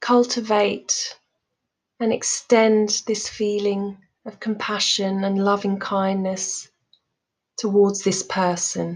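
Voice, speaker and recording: The voice has a calm, soothing tone. It moves at a very slow pace. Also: woman. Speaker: mindfulness coach, meditation guide. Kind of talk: guided meditation. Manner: calm, slow, soothing.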